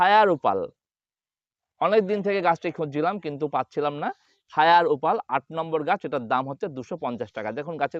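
A man with a plain, everyday voice speaks at a fairly high pitch. His intonation is lively. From West Bengal, India (Nadia district). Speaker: gardening YouTuber. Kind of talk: tutorial.

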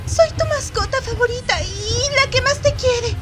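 A female-sounding voice puts on a character at an extremely high pitch. The pace is moderate. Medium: dub. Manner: pleading, desperate.

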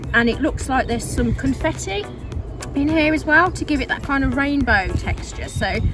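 Clear music plays behind a woman's voice. She speaks at a moderate pace, in a dry sound with no echo. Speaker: vlogger. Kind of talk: casual vlog chat. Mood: relaxed, delighted. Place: open country.

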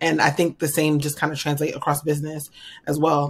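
A woman's very deep, low voice with an American accent at a fairly quick pace. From New York. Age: 30s. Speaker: financial strategist; podcast guest. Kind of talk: interview. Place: home room.

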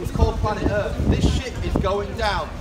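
A man at a moderate pace, with clear background noise.

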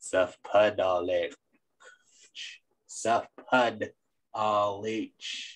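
A cartoonish character voice at a very slow pace, broken by long, frequent pauses. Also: man, medium pitch for a man. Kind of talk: cartoonish, slurred.

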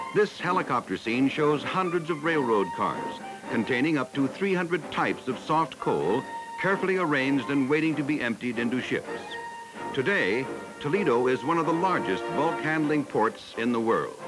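A man speaks at a moderate pace. Behind him, music is clearly heard. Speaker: documentary narrator. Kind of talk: documentary narration. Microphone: old recording.

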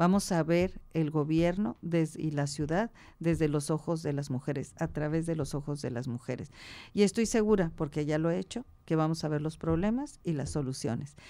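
Her voice is very deep and low with a dark, mellow tone. She speaks at a moderate pace with ordinary pitch variation. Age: 60s. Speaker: political candidate; candidate. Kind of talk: radio interview. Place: studio. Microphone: studio mic.

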